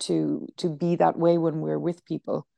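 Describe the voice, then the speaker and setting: A woman talks with an Irish accent, her voice recorded dry and close with no echo. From Ireland. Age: 30s. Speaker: high school teacher and yoga nidra guide. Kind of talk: casual chat. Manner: halting.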